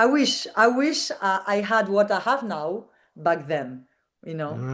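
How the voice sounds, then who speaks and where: A woman's medium-pitched voice with a French accent, vocal fry, very wide pitch swings and a fairly slow pace. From France. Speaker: digital nomad entrepreneur. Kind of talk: interview. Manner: halting.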